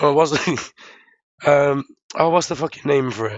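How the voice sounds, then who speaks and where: A man speaks in an Irish accent at a moderate pace. His pitch is fairly high, with ordinary variation. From Ireland. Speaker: livestream co-host, software developer. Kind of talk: casual chat.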